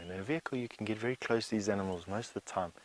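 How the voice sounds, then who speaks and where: Over noticeable background noise, a soft-spoken man talks at a fairly low pitch with ordinary pitch variation. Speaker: safari guide. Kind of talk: live wildlife commentary on a bushwalk. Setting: outdoors on foot in the bush.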